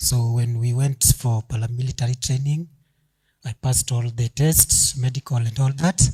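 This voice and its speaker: In a dry, close recording with no echo, a man speaks at a moderate pace and medium pitch, his tone dark, mellow and somewhat breathy, with fairly even intonation. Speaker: young professional sharing a story. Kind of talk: audience testimony at event. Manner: halting.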